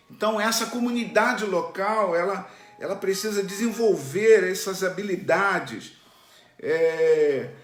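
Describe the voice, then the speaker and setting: Over music in the background and audible room echo, a man speaks very slowly at a high pitch with ordinary pitch variation. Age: 60s. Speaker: pastor. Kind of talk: sermon. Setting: online church stream.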